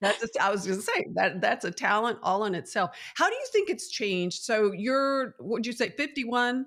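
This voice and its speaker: This woman has a plain, everyday voice, fairly high in pitch, moving at a moderate pace with lively intonation and hardly any pauses. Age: 60s. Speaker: TV host. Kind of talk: casual chat.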